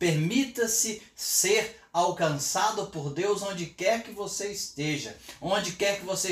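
Over noticeable background noise and audible room echo, a man talks at a fairly slow pace with ordinary pitch variation. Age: 50s. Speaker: pastor. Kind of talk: sermon. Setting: home office, livestream.

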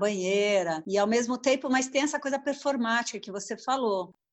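At a moderate pace and with ordinary pitch variation, the woman talks in an unremarkable speaking voice. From São Paulo, Brazil. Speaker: literary translator and French teacher. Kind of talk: casual interview.

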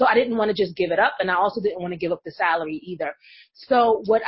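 The speaker talks at a very fast pace with lively intonation and an American accent. The voice is somewhat breathy. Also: woman. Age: 30s. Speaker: business coach. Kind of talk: interview.

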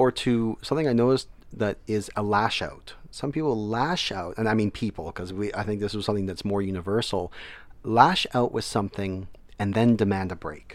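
On a very clean recording with a silent background, a man speaks in an ordinary speaking voice, fairly low in pitch, at a moderate pace with ordinary pitch variation. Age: 30s. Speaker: military veteran and educator. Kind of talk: casual interview.

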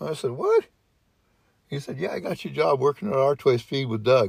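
With lively intonation and a somewhat breathy sound, a man talks at a fairly high pitch. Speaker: former dairy farmer. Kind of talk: casual chat.

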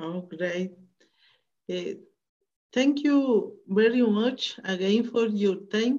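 A woman with a Spanish accent speaks very slowly with long, frequent pauses, her fairly high pitch showing ordinary variation and her tone dark and mellow. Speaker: interviewer. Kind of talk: interview.

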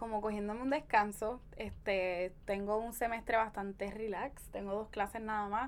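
A woman's fairly high voice, an unremarkable speaking voice, at a moderate pace with fairly even intonation. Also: hardly any pauses. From Puerto Rico, Caguas. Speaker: feminist blogger and podcaster. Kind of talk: casual interview.

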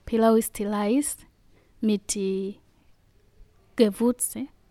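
The delivery is very slow, with fairly even intonation and a dark, mellow tone. The sound is dry and close with no echo, in a very clean recording with a silent background. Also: woman. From Tanzania. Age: 20s. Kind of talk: interview.

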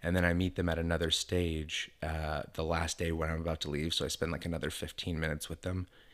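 A man with a very deep, low pitch and an American accent, flat and monotone, at a very fast pace with hardly any pauses. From Northern California (Stockton). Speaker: comedian. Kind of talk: casual chat. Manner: soft-spoken.

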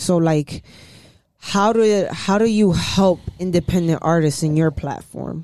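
A woman with a New York accent speaks fairly slowly at a fairly low pitch, with ordinary pitch variation. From New York, Harlem. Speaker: podcast host. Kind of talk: casual chat.

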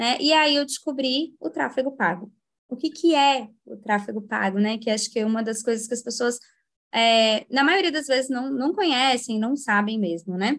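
With lively intonation and a moderate pace, a woman speaks at a high pitch. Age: 20s. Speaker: paid traffic manager. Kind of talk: casual chat.

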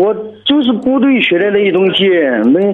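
Over noticeable background noise, a man with a high-pitched voice talks at a moderate pace with ordinary pitch variation. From Sichuan, China. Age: 30s. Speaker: soldier calling in for advice. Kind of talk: call-in advice conversation. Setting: phone call. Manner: halting, repeats words.

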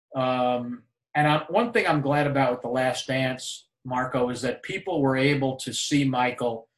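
This man has an unremarkable speaking voice, an American accent, medium pitch and fairly even intonation at a moderate pace. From New York. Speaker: retired sports executive. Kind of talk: interview.

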